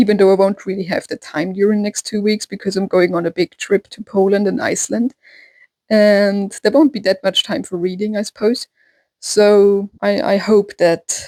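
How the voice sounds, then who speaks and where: Speaking in a German accent, a woman uses a medium pitch, a dark, mellow tone and fairly even intonation at a moderate pace. The sound is dry and close, with no echo. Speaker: book vlogger. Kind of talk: casual vlog talk. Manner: hesitant with fillers.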